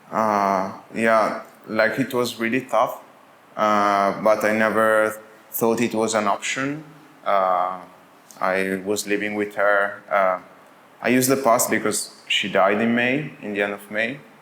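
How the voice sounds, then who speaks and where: A man's fairly low voice with an Italian accent, very slow pace and fairly even intonation. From Italy. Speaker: brewery and cafe owner. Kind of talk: interview. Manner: halting, with many fillers.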